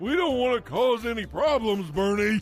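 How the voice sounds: In a cartoonish character voice, a man with a high pitch talks at a moderate pace over faint music in the background.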